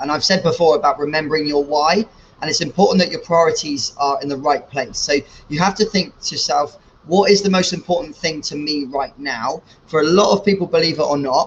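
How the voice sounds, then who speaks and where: With a British accent, a man speaks fairly high and at a fairly quick pace, with ordinary pitch variation. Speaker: fitness coach. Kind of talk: casual talk to camera. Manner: loud.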